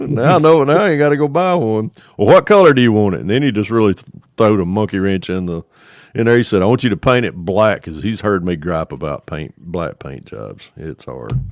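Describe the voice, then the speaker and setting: Against a quiet background, a man with a Northwest Georgia accent speaks fairly quickly at a fairly low pitch, with very wide pitch swings and big swings in loudness. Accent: Northwestern Georgia. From northwestern Georgia. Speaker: scale model builder. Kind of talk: casual chat.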